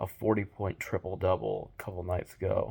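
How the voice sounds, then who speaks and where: A soft-spoken man with a very deep, low pitch, fairly even intonation and a moderate pace, on a very clean recording with a silent background. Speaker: sports video host. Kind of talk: casual sports predictions monologue. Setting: at home. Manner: quiet, talking softly.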